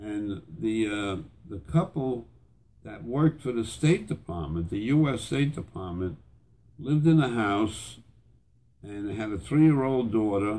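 Pausing long and often, a man speaks in a fairly low pitch with a dark, mellow tone and big swings in loudness. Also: fairly slow pace. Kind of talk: storytelling reminiscence. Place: home room.

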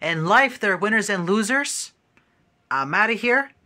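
A high-pitched man's raised, projected voice with lively intonation, over light background noise. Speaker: gaming vlogger. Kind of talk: casual vlog. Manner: animated. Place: home room. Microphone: phone near.

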